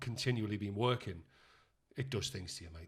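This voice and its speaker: Very fast speech comes out somewhat breathy. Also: man. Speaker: actor and director. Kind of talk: casual chat.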